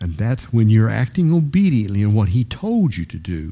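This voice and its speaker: A man speaks at a moderate pace with a fairly low pitch, a somewhat breathy, dark and mellow tone, and lively intonation. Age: 70s. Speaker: Bible study teacher. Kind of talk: Bible teaching. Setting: live group gathering. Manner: halting.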